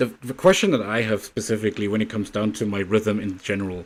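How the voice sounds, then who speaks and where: A strong German accent with ordinary pitch variation. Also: man. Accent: thick German. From Germany. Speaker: livestreamer. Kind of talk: casual chat.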